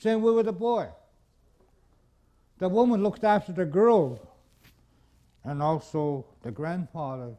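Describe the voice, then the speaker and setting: Against a quiet background, a man talks fairly slowly in a high voice with very wide pitch swings and long, frequent pauses. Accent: American. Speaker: traditional knowledge keeper. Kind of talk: lecture. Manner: loud; clear.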